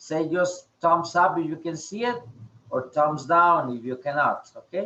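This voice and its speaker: This man speaks with a Spanish accent at a fairly slow pace. His pitch is high for a man, with ordinary variation. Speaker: English teacher. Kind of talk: online class. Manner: halting, many fillers.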